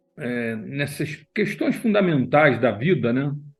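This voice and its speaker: With music in the background, a man talks at a fairly slow pace in a fairly high pitch. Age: 70s. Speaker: neurosurgeon and researcher. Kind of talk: interview conversation. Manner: conversational, with fillers.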